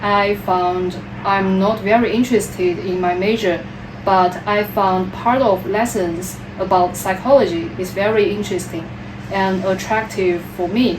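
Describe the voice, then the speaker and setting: A woman talks at a fairly slow pace in a Chinese accent, her pitch medium with ordinary variation. Noticeable background noise and audible room echo surround her voice. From China, Wuhan. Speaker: PhD applicant. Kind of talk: job interview. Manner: halting.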